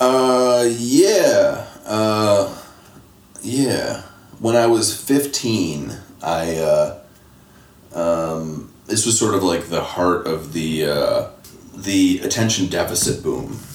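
Audible room echo surrounds a man with an American accent who speaks very slowly, his fairly low voice full of lively intonation. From Michigan, Detroit area. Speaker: screenwriter. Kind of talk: interview conversation.

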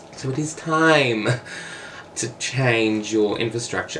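The speaker goes at a fairly slow pace with an Australian accent. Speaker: political commentary vlogger. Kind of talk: casual opinion monologue.

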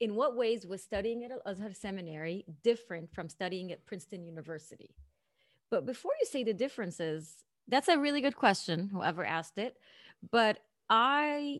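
This woman talks at a medium pitch, her voice moving through very wide pitch swings. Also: very clean recording, silent background. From Saudi Arabia (Egyptian family). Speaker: podcast guest host, interviewer. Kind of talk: casual interview chat.

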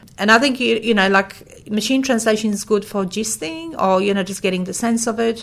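Moving at a fairly quick pace with hardly any pauses, a woman speaks with a Polish accent at a medium pitch and fairly even intonation. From Poland. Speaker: language services company founder. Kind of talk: interview. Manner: hesitant with fillers.

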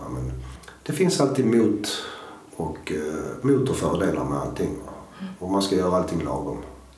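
Over noticeable background noise and audible room echo, a man with a fairly low pitch speaks at a moderate pace, with very wide pitch swings and long, frequent pauses. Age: 50s. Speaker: cannabis oil seller. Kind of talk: interview.

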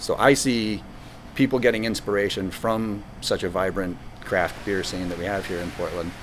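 Here is a man with an unremarkable speaking voice and a fairly low pitch. His pace is moderate and his intonation fairly even. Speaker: brewery owner and former teacher. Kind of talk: interview answers, casual conversation. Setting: brewery pub.

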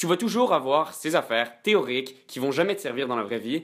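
On a very clean recording with a silent background, a man speaks at a very fast pace with lively intonation. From Quebec. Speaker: student. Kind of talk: casual debate.

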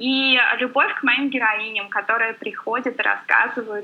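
Her voice is a normal speaking voice, as this woman talks at a fairly slow pace in a fairly high pitch with fairly even intonation. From Volga region, Russia. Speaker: blogger. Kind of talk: podcast interview.

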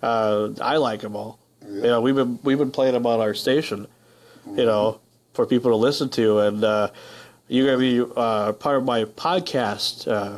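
A man with an unremarkable speaking voice, medium pitch and fairly even intonation, at a moderate pace against a quiet background. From northern Minnesota. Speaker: radio host. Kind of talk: casual interview. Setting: radio studio.

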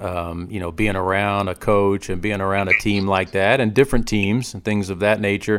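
A man talks in a plain, everyday voice, fairly low in pitch and fairly even in intonation. His pace is moderate, with hardly any pauses. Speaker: basketball podcast host. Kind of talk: casual interview. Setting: remote call.

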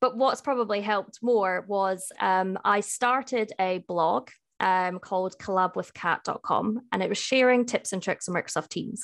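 With a Scottish accent, a woman speaks at medium pitch and a moderate pace, using ordinary pitch variation over a quiet background. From Scotland, Edinburgh. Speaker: IT solutions specialist. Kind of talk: interview.

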